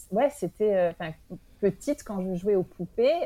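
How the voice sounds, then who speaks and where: The speaker is a woman. Her pitch is medium. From France. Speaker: early childhood professional. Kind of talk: interview. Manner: halting.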